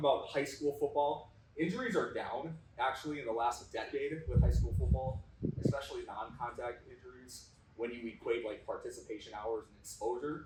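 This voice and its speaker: With an Upper Midwest accent, a man speaks at a fairly quick pace, his loudness swinging widely, in audible room echo. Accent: Upper Midwest American. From North Dakota. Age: 30s. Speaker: strength coach and kinesiology teacher. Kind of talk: presentation to audience. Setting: stage with audience. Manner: informal.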